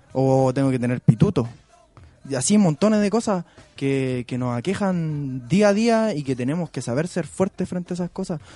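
A man's fairly high, lively voice at a moderate pace, with music in the background. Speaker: community activist. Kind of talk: radio interview.

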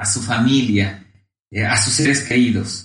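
A man speaks at a very slow pace. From Ecuador, Cuenca. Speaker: economist. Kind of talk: interview. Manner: hesitant, frequent fillers and repetitions.

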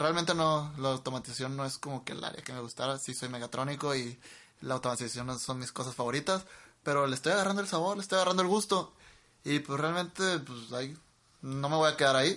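At a fairly quick pace, a man speaks in a plain, everyday voice, fairly high in pitch with ordinary pitch variation. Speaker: podcast co-host, engineering graduate. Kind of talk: casual chat. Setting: home studio in a bedroom. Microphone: cheap microphones into a laptop.

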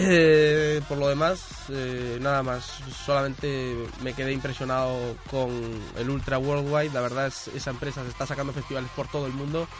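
There is audible room echo and noticeable background noise. A man speaks at a fairly high pitch in a monotone, flat way. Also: moderate pace. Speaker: radio host. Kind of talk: casual chat.

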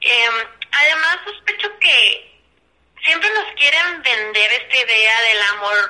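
Her voice is high with a bright, sharp tone. The woman talks at a very slow pace. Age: 20s. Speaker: advertising creative coordinator. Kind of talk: casual chat.

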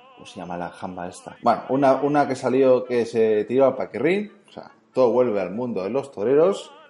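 With music in the background, the speaker moves at a moderate pace with hardly any pauses, lively intonation and big swings in loudness. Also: man, medium pitch for a man. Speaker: podcast host. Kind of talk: casual chat.

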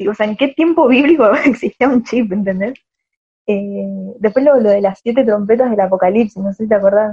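With a Rioplatense accent, a woman speaks at a moderate pace and a fairly high pitch, somewhat breathy, with long, frequent pauses. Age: 20s. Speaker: veterinary student. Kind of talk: casual chat.

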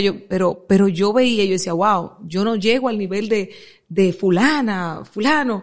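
At a very slow pace, a woman speaks at a medium pitch with ordinary pitch variation against a quiet background. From Dominican Republic, Santo Domingo Oeste. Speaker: media entrepreneur. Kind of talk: interview.

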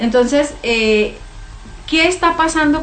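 With noticeable background noise and audible room echo, a woman is heard speaking. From Mexico, Chihuahua (Namiquipa). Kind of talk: religious testimony.

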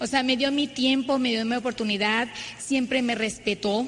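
A woman speaks in a high pitch. Her pitch variation is ordinary. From Mexico, Ciudad Obregón, Sonora. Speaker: network marketing speaker. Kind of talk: motivational talk.

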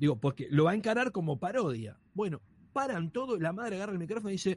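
Talking fairly quickly, the man uses a high pitch and lively intonation. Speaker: stand-up comedian. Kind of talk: casual chat.

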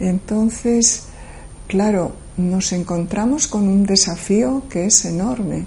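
Very slow speech from a woman at medium pitch, ordinary pitch variation, over noticeable background noise. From Galicia, Spain. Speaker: professor. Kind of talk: interview monologue. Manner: measured, with hesitations.

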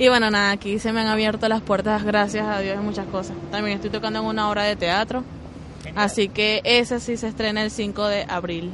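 There is noticeable background noise as a woman talks at a fairly quick pace. Her pitch is medium and her intonation monotone and flat. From Venezuela, Zulia and Guarenas. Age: 20s. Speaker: violinist. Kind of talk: interview. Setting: outdoors.

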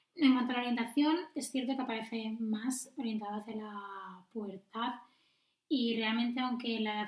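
The woman speaks at a fairly quick pace. Her intonation is fairly even. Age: 20s. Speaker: nurse and midwife. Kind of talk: casual chat.

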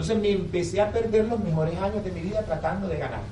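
A man talks at a very fast pace in an animated tone. Audible room echo and noticeable background noise run through the clip. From Colombia, Barranquilla. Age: 30s. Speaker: network marketing speaker. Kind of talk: business presentation to live audience. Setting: hotel event room with audience.

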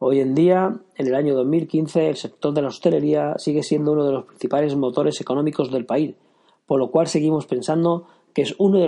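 At a moderate pace, a man talks with a fairly high pitch, a dark, mellow tone and ordinary pitch variation. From Catalonia, Spain (Girona). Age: 30s. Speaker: podcast host and hospitality blogger. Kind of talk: solo instructional podcast monologue.

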